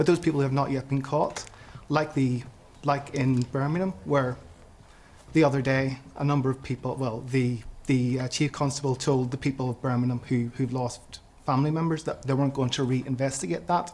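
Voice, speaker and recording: A man with a Northern Irish accent speaks at a moderate pace, with a medium pitch, fairly even intonation and a somewhat breathy quality. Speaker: audience member. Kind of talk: televised panel debate. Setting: studio with audience.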